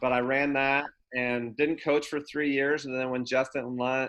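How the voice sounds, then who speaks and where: This man has an American accent and a medium pitch. He talks fairly slowly in a flat monotone. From Oregon, US (Grants Pass). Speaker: college basketball assistant coach. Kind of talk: interview on a video podcast.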